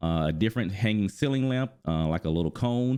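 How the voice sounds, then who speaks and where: A man talks at a fairly quick pace. His fairly low voice has lively intonation. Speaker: gaming youtuber. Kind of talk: video commentary. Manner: fast; enthusiastic.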